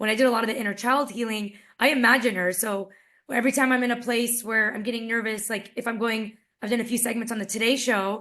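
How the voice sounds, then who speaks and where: Fairly high in pitch, a woman talks in a monotone, flat intonation. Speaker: summit speaker, wellness coach. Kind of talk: interview talk about personal growth. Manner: casual, conversational.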